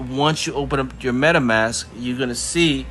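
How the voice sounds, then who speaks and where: Noticeable background noise sits behind this man's voice. He speaks at a medium pitch with fairly even intonation. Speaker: crypto tutorial youtuber. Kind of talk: tutorial. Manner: casual, filler-heavy.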